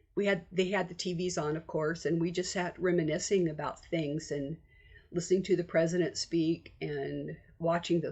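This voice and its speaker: A woman's fairly low, somewhat breathy voice with an American accent, monotone and flat at a moderate pace. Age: 70s. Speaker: vlogger. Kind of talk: casual chat. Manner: conversational.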